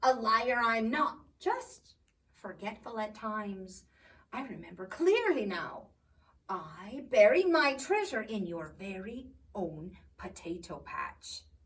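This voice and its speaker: A woman's put-on character voice, rumbling yet fairly high-pitched, at a fairly slow pace. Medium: read story. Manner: grumbling, sly.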